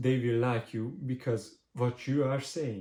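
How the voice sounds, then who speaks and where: A man at medium pitch with a non-native accent, a dark, mellow tone, fairly even intonation and a fairly slow pace. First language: not English. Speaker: marketing agency owner, business vlogger. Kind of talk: tutorial. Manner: halting, many fillers.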